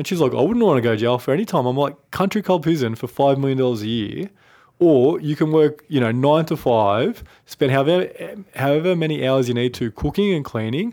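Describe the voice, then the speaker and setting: With an Australian accent, a man speaks at a fairly quick pace in a fairly high pitch, his intonation lively. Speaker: finance podcast co-host. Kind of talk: casual chat. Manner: laughs often.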